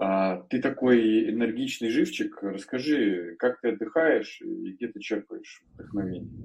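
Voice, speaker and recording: With ordinary pitch variation, a man speaks in an unremarkable speaking voice. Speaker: podcast co-host. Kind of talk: casual podcast interview.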